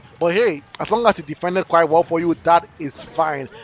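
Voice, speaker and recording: Pitched high, a man talks at a fairly quick pace in an animated tone with ordinary pitch variation. The sound is dry and close with no echo, though there is noticeable background noise. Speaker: esports commentator. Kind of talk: live commentary. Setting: livestream. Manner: fast.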